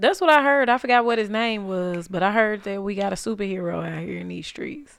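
A woman with a plain, everyday voice talks at a fairly quick pace and medium pitch, with hardly any pauses. Her pitch varies in an ordinary way, her loudness swings widely, and the recording is very clean with a silent background. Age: 30s. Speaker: podcast host. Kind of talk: casual chat.

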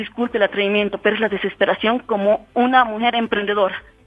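The speech races at a very fast pace over noticeable background noise. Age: 30s. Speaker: business owner. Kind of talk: complaint to the mayor.

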